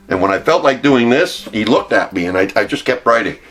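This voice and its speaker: Over noticeable background noise, a man talks at a fairly quick pace in a medium-pitched voice. His intonation is lively and his tone enthusiastic. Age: 70s. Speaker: network marketing distributor. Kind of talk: testimony.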